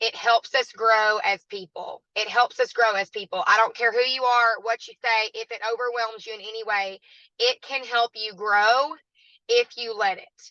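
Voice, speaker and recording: A woman's fairly high, bright, sharp voice in a Southern US accent, with fairly even intonation, big swings in loudness, and a dry, close sound with no echo. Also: moderate pace. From US South, southwest Arkansas. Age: 20s. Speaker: network marketing guest speaker. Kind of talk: online training talk.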